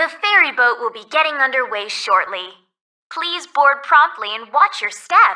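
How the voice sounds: A woman puts on a character voice at a high pitch with lively intonation. Her tone is bright and sharp, and her pace is fairly slow.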